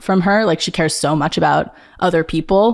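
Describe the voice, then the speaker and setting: With an American accent, a woman speaks at a fairly low pitch with ordinary pitch variation. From Long Island, New York. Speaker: artist. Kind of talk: casual chat. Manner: filler-heavy, uses like a lot.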